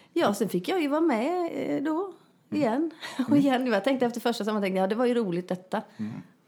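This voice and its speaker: A woman's pitch swings very widely. Noticeable background noise can be heard. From Västergötland, Sweden (rural, near Småland/Halland border). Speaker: comedian and actress. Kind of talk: casual chat. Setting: at guest's home.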